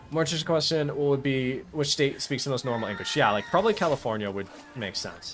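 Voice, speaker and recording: Over noticeable background noise, a man talks very fast in a fairly high voice with lively intonation. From US, Boston area. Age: 20s. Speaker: gaming streamer. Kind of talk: live stream chat while gaming. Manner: casual, filler-heavy.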